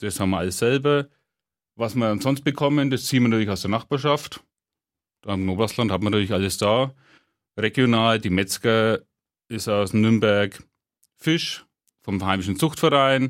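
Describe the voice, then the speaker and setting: In a very clean recording with a silent background, a man of medium pitch talks at a moderate pace with ordinary pitch variation and long, frequent pauses. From Franconia, Hersbruck area, Germany. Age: 30s. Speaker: head chef. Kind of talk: casual interview. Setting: radio studio.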